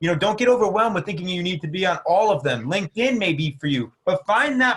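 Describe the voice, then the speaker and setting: A man's voice sits high in pitch and carries lively intonation. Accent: American. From New Jersey. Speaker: entrepreneur. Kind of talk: casual chat.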